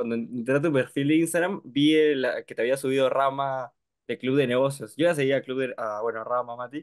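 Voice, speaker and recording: With a quiet background, a man's fairly even intonation comes at a fairly quick pace. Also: medium pitch for a man. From Peru. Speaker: mentoring member; interviewer, host. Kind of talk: Q&A question. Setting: video call. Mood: friendly, relaxed. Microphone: video call.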